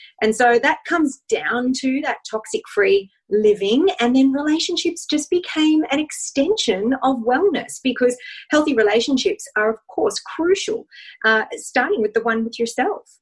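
With an Australian accent, a high-pitched woman speaks at a moderate pace, her pitch swinging very widely. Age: 40s. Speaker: wellness and relationship expert. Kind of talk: interview.

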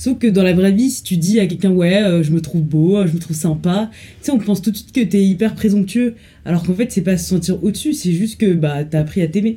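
A woman speaks at a medium pitch. Her tone is dark, mellow and somewhat breathy. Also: ordinary pitch variation, fairly quick pace. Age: 20s. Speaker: law student. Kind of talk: casual chat.

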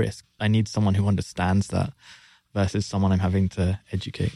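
Over a silent background in a very clean recording, a man with a London accent talks at a fairly quick pace, his fairly low voice dark and mellow in tone and monotone and flat in intonation. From London, England. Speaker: marketing executive. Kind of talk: interview. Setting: studio.

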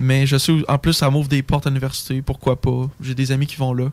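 With a fairly high pitch, a man speaks at a moderate pace. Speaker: forestry engineering student. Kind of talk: casual chat.

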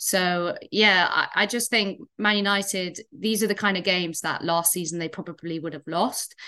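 A woman with a Welsh accent speaks in a bright, sharp tone with hardly any pauses against a quiet background. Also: medium pitch for a woman, moderate pace. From Wales. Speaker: football pundit. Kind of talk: casual chat.

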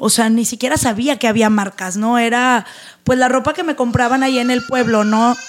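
Noticeable background noise accompanies the recording. Over it, a woman speaks at a fairly high pitch. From Mexico, northern Veracruz (Tamiagua). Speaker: entrepreneur and motivational speaker. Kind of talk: interview.

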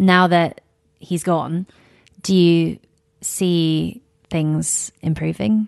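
A woman with a British accent, fairly low in pitch with ordinary pitch variation, at a very slow pace broken by long, frequent pauses. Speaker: podcast host and travel journalist. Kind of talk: scripted intro then interview. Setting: in-person interview in a hotel suite.

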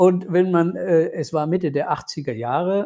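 Ordinary pitch variation runs through the speech. The voice has a dark, mellow tone. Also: man. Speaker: lawyer and former rock guitarist. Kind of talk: interview. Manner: hesitant with many fillers.

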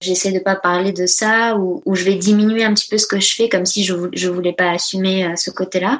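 A woman speaks at a moderate pace with a medium pitch and fairly even intonation, over noticeable background noise. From grew up partly in a dictatorship abroad, then France. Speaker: business coach for entrepreneurs. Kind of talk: casual interview chat. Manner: hesitant with many fillers.

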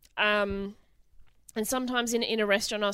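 Speaking with an Australian accent, a woman with a medium pitch and a bright, sharp tone moves at a fairly quick pace with fairly even intonation, in a very clean recording with a silent background. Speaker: comedian and TV co-host. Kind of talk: casual chat.

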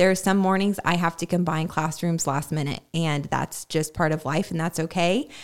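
A plain, everyday voice moves at a moderate pace with fairly even intonation on a very clean recording with a silent background. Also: woman, fairly low pitch for a woman. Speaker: church staff member, guest. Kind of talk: testimony, casual interview. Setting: studio.

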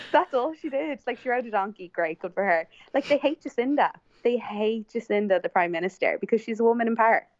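A woman talks at a very fast pace in an Irish accent. Her pitch is fairly high and her intonation lively. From Ireland. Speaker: podcast guest. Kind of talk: casual chat. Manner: talkative.

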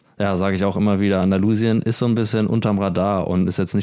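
Very fast and monotone, a man delivers his words with flat intonation. His voice is very deep and low, with a dark, mellow tone. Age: 20s. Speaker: podcast co-host. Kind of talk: casual chat.

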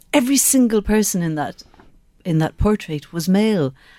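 A woman with a Cork accent has a dark, mellow tone. She talks at a moderate pace. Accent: Cork Irish. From Ireland, Skibbereen, County Cork. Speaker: former TV reporter, political training head. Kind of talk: radio interview. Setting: radio studio.

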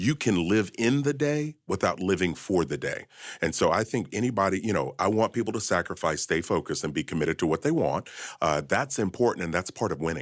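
A man's fairly low voice at a fairly quick pace, with very wide pitch swings. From Kentucky. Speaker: financial expert and author. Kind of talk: interview.

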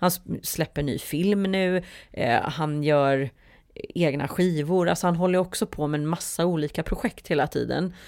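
In an ordinary speaking voice with fairly low pitch and ordinary pitch variation, a woman speaks at a moderate pace on a very clean recording with a silent background. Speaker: musical theatre performer and producer. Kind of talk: casual interview.

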